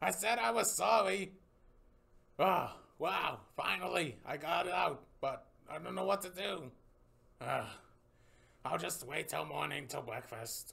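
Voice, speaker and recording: A cartoonish character voice at a fairly slow pace, with long, frequent pauses. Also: man, high pitch for a man. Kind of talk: puppet short film dialogue.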